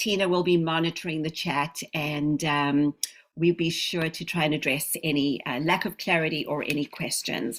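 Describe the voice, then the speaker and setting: A woman speaks with fairly even intonation at a very deep, low pitch, over noticeable background noise. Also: moderate pace. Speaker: speech pathologist trainer. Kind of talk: online training lecture.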